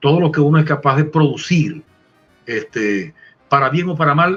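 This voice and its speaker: A somewhat breathy man's voice, fairly high in pitch, at a moderate pace. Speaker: veteran radio announcer and lawyer, promoter of Venezuelan music. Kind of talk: interview answer.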